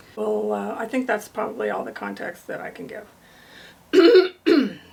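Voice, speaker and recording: Amid noticeable background noise, a woman speaks at a very slow pace with big swings in loudness. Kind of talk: casual talk to camera.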